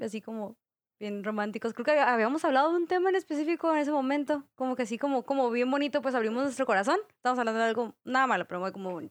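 Her voice high and intonation lively, a woman races along at a very fast pace in a dry, close sound with no echo. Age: 20s. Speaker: podcast guest. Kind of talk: casual chat.

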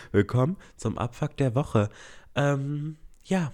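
Recorded very cleanly against a silent background, a man talks with ordinary pitch variation. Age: 20s. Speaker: podcast host. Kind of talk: solo casual chat. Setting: home recording. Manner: hesitant fillers.

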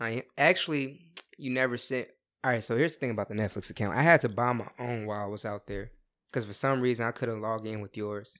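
Ordinary pitch variation at a very fast pace. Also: man, medium pitch for a man. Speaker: host's younger brother. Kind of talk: casual chat.

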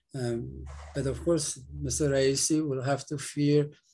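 A man with a medium-pitched, somewhat breathy voice speaks at a very slow pace with ordinary pitch variation. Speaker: political activist. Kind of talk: moderated interview discussion. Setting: remote call.

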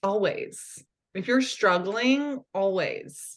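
Against a quiet background, a woman speaks very slowly with ordinary pitch variation. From California. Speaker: mental performance coach. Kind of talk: casual interview chat.

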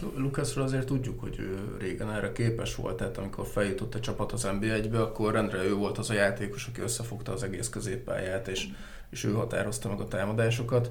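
With hardly any pauses, a man with a fairly low pitch talks at a very fast pace and keeps his intonation fairly even. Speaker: sports journalist. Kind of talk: casual chat.

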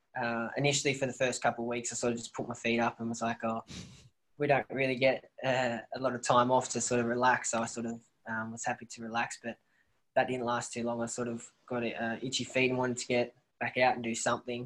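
A man speaks in a flat, monotone way with an Australian accent. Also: medium pitch for a man. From rural New South Wales, near Bathurst. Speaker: professional footballer. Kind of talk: casual interview.

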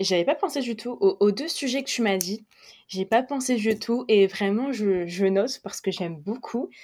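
At a fairly slow pace, a woman with a fairly high pitch and lively intonation speaks in a normal speaking voice. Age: 20s. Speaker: podcast host, fashion debate. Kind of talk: casual discussion.

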